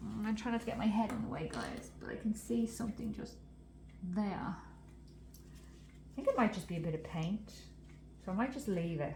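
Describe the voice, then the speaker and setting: A woman talks at a moderate pace with big swings in loudness. Audible room echo and noticeable background noise fill the recording. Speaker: resin artist. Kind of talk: tutorial. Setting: craft room.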